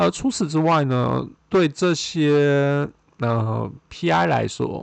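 Here a man speaks with a Taiwanese accent. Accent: Taiwanese Mandarin. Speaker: podcast host, postdoctoral researcher in neuroscience. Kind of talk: solo podcast monologue. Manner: hesitant, many fillers.

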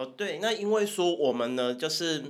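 In a normal speaking voice, a man talks at a moderate pace with lively intonation. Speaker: guest, former customer service agent. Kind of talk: casual chat.

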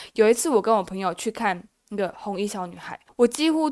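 At a fairly quick pace, a woman talks in a medium pitch on a very clean recording with a silent background. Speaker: solo podcaster. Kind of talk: casual chat. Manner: stumbles over words.

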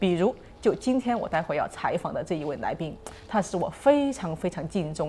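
With lively intonation and a medium pitch, a woman talks in a normal speaking voice. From mainland China. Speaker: podcast host. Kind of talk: interview.

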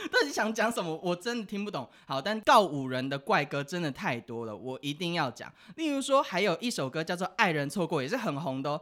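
Someone speaks in an animated tone at a fairly quick pace with hardly any pauses, against noticeable background noise. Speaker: podcast co-host. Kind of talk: casual chat. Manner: animated, frequent laughter.

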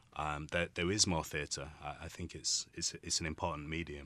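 Against a quiet background, a man with a very deep, low pitch and a bright, sharp tone talks at a moderate pace. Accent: Yorkshire. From Yorkshire, northern England. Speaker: actor and theatre director. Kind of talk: interview. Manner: halting, many fillers.

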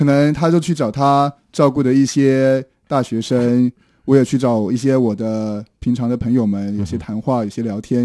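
A man talks with a dark, mellow tone at a medium pitch. The background is quiet. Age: 30s. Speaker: volunteer life-education teacher. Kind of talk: radio interview. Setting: radio studio. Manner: hesitant with fillers.

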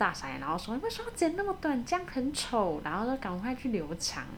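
Very wide pitch swings at a fairly quick pace, with audible room echo and noticeable background noise. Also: woman. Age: 30s. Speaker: radiographer. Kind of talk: casual interview.

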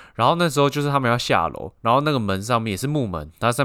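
On a very clean recording with a silent background, a man talks very fast in a bright, sharp tone with very wide pitch swings. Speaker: podcast co-host. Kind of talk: casual chat.

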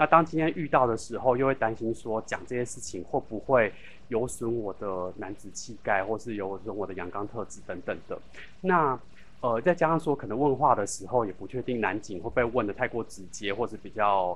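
A normal speaking voice, the man talks at a moderate pace and medium pitch with lively intonation and big swings in loudness. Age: 40s. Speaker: LGBT hotline organization secretary-general. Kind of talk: interview.

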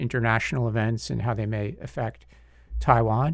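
With a New York accent, a man speaks at a medium pitch with ordinary pitch variation. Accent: New York area American. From US Northeast, Long Island, New York. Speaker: lawyer and political analyst. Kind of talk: casual interview chat.

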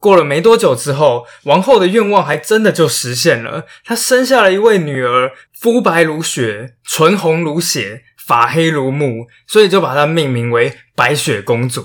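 His pitch is fairly high, and the man's voice makes very wide pitch swings. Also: fairly slow pace. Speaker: history podcaster. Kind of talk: storytelling podcast narration. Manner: animated. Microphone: new microphone.

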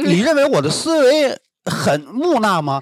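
A man talks at a fairly slow pace, his pitch swinging very widely. The sound is dry and close, with no echo. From Beijing. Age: 50s. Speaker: podcast guest. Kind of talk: casual chat.

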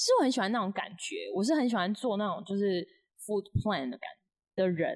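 A woman talks at a fairly quick pace. Her medium-pitched voice has lively intonation. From Taiwan. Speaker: podcast co-host, digital nomad. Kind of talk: casual chat.

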